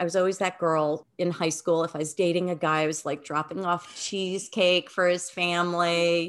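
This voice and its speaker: A woman speaks at a moderate pace in a fairly low pitch with an unremarkable speaking voice against a quiet background. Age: 60s. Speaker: wellness educator and author. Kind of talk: interview.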